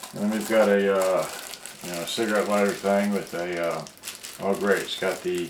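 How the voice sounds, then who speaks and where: Noticeable background noise accompanies a voice moving at a moderate pace. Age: 60s. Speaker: product reviewer. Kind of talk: live unboxing video. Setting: live stream. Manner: halting.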